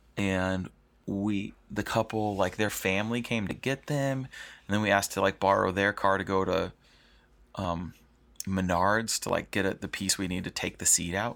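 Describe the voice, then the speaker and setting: On a very clean recording with a silent background, a man speaks with a fairly low pitch and fairly even intonation. His is an unremarkable speaking voice. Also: moderate pace. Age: 30s. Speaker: wedding photographer and podcast host. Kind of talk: solo podcast storytelling. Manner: casual, filler-heavy.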